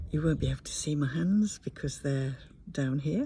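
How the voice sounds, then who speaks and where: A woman speaks quietly at a moderate pace. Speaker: tapping practitioner. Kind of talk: guided tapping session. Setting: outdoors at a campsite.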